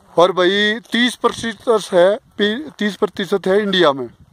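This man talks at a high pitch with ordinary pitch variation. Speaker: motorcycle rider. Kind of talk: travel vlog commentary to camera. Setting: outdoors, windy. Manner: casual, enthusiastic.

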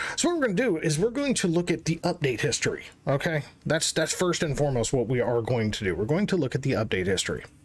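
A man speaks very fast at a fairly high pitch. His pitch swings very widely. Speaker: gaming youtuber. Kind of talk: casual commentary. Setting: screen recording. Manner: animated. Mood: frustrated, ranting.

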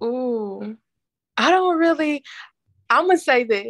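A woman speaks with lively intonation. The sound is dry with no echo, over a quiet background. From US South, Tennessee. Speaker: poet and author. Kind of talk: casual interview; spoken word poetry. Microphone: video call.

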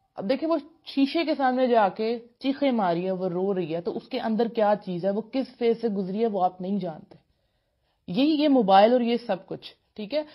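Lively in intonation, a woman speaks with a fairly high pitch. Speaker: motivational speaker. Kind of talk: motivational lecture.

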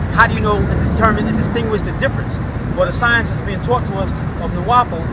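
Loud background noise sits behind a man whose voice sounds dry with no echo. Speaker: speaker. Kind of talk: impassioned street lecture. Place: street. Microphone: phone near.

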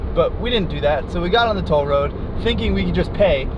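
A man talks at a fairly quick pace. The sound is dry with no echo, though there is noticeable background noise. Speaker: travel vlogger driving. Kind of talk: casual vlog chat. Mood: amused, exasperated. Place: car.

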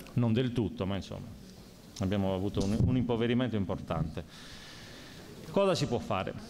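A man with a dark, mellow tone talks at a moderate pace with ordinary pitch variation, over noticeable background noise. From Sardinia. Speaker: local election candidate; election candidate. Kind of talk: candidates' debate. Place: hall. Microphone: podium.

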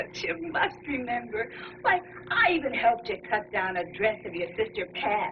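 The speaker is a woman. Noticeable background noise is present. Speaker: actress playing a chatty former neighbor. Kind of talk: scripted drama dialogue. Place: studio.

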